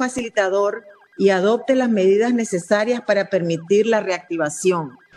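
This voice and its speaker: Against noticeable background noise, a woman with a fairly high voice talks at a moderate pace with ordinary pitch variation. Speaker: human rights defender. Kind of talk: formal TV interview.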